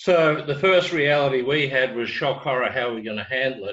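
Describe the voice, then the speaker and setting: The speaker talks with an Australian accent in a bright, sharp tone. Pace is moderate and pitch variation ordinary. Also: man. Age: 60s. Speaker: business training executive. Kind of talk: webinar talk.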